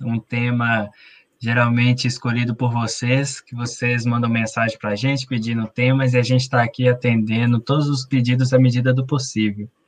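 Against a quiet background, the voice holds a monotone, flat intonation at a moderate pace. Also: man, hardly any pauses. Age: 30s. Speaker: patient association president, co-host. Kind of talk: announcements on live stream.

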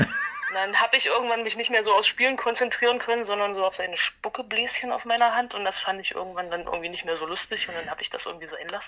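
Over noticeable background noise, a woman talks very fast in a fairly high pitch with ordinary pitch variation. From Halle, Saxony-Anhalt, eastern Germany. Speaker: punk bassist and concert organizer. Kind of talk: casual interview.

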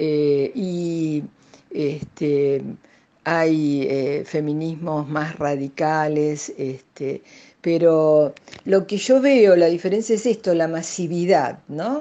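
With a Rioplatense accent, a woman speaks very slowly in a very deep, low voice with a dark, mellow tone and ordinary pitch variation. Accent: Argentine Rioplatense Spanish. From Argentina, Buenos Aires province. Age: 70s. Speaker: retired psychologist. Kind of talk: interview. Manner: halting, many fillers.

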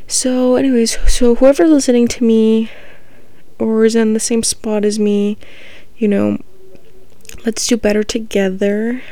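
A woman with an American accent at a fairly slow pace, fairly even intonation, long and frequent pauses, and noticeable background noise. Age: 20s. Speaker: podcast host. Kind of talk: casual monologue.

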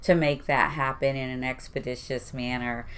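A woman with an American accent. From Houston, Texas (East End). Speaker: port employee. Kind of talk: casual interview chat.

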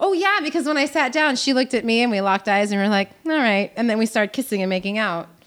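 Talking at a very fast pace with hardly any pauses, a woman keeps her loudness very even while her fairly high voice carries lively intonation. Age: 30s. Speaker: podcast guest. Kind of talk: casual chat.

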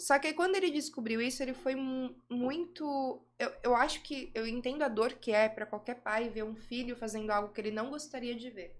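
A woman's high-pitched voice with ordinary pitch variation, at a moderate pace with hardly any pauses. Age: 20s. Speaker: adult film actress and director. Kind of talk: casual interview chat.

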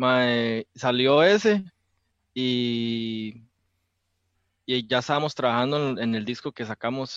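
A man with a Costa Rican accent speaks at a very slow pace, leaving long, frequent pauses, and his pitch varies in an ordinary way. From Costa Rica, Belén. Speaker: rock musician. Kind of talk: casual chat.

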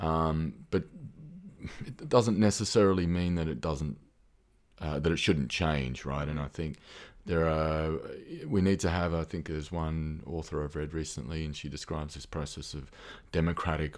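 With an Australian accent, a man speaks in a very deep, low pitch. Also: ordinary pitch variation, moderate pace. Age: 30s. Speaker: researcher and former military. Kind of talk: casual interview conversation. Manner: hesitant, thoughtful, many fillers.

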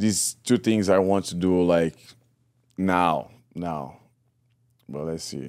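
A man with a Brazilian accent speaks at a very deep, low pitch and a very slow pace, leaving long, frequent pauses. The recording is very clean, with a silent background. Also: ordinary pitch variation, big swings in loudness. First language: Portuguese. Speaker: Muay Thai fighter and coach. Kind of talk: casual interview chat. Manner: halting, broken English.

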